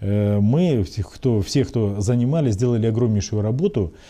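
A man's dark, mellow tone carries ordinary pitch variation against a quiet background. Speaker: city mayor. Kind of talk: interview answer. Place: office. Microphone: lapel.

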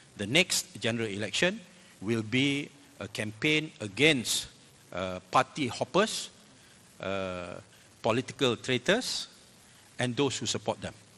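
Fairly slow, with long, frequent pauses, a man speaks in a bright, sharp tone with lively intonation. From Malaysia. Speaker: politician. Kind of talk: panel discussion. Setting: stage with audience. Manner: halting. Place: hall. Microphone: handheld.

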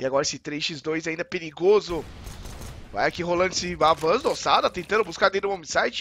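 Talking at a very fast pace, a man with a Brazilian accent uses a high pitch, a bright, sharp tone and ordinary pitch variation. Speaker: match caster. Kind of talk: live esports play-by-play commentary. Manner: fast, excitable, rapid-fire play-by-play.

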